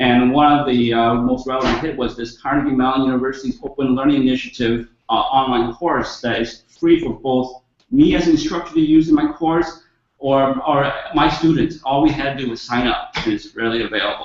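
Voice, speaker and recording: A man with a slight non-native accent speaks at a fairly quick pace in a fairly high voice, his intonation fairly even. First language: not English. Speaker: educator / webinar presenter. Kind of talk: webinar presentation. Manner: halting, many fillers.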